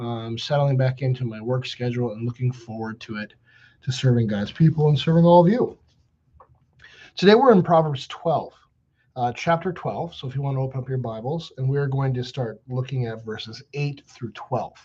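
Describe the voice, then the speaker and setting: A man speaks at a fairly quick pace and medium pitch with ordinary pitch variation. His tone is dark and mellow, and somewhat breathy. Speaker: pastor. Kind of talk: bible study teaching. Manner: at times unintelligible; hesitant, many fillers.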